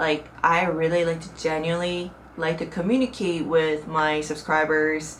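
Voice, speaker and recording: Someone with a Korean accent speaks at a moderate pace with ordinary pitch variation and audible room echo. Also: woman. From South Korea. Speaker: YouTuber. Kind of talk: casual vlog talk to camera. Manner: conversational, with fillers.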